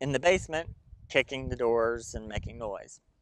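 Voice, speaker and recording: Lively intonation runs through this speech. It carries a Southern US accent. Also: man, quiet background. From Tennessee, Chattanooga. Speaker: storyteller and psychic. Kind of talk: ghost storytelling. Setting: outdoors in a cemetery. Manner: casual with many fillers.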